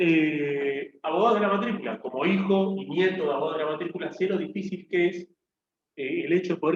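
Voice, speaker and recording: A man's high-pitched voice at a very fast pace with ordinary pitch variation. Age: 30s. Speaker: lawyer and lecturer. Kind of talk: lecture.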